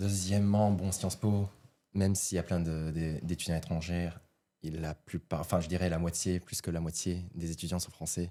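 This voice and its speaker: The tone is dark and mellow, with fairly even intonation. Delivery comes at a fairly slow pace. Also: man. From Japan. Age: 20s. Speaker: podcast guest, student and entrepreneur. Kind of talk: casual podcast conversation.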